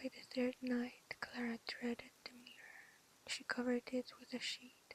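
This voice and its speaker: Speech comes at a fairly slow pace. The delivery is soft-spoken. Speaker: ASMR creator. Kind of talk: bedtime story reading.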